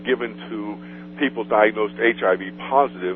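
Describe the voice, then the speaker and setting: Background noise is noticeable. The speaker keeps a moderate pace. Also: man. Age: 60s. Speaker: author. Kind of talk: radio interview. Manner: halting.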